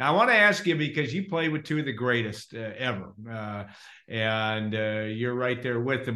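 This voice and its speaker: Here is a man with a normal speaking voice at medium pitch. His pace is moderate and his pitch variation ordinary. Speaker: interviewer host. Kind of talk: casual interview chat. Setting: video call.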